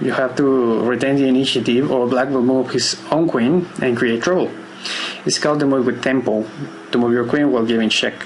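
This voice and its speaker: A man's medium-pitched voice with a non-native accent, at a moderate pace with ordinary pitch variation, amid noticeable background noise and audible room echo. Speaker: chess teacher. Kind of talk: tutorial. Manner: hesitant, with filler words.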